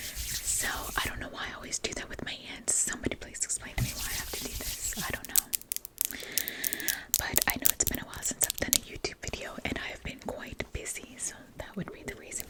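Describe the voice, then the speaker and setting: A woman whispers while a noticeable amount of background noise carries on around her. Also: fairly quick pace. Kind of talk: casual ASMR intro to camera. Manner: soft-spoken, chatty.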